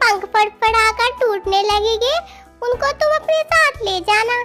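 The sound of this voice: A cartoonish character voice is heard over faint music in the background.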